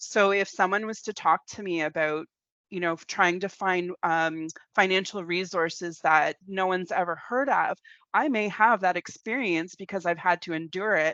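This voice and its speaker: A woman talks at a moderate pace with a Canadian accent. Her pitch sits in the medium range and varies in an ordinary way. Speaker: community workshop facilitator. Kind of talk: online workshop presentation. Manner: animated.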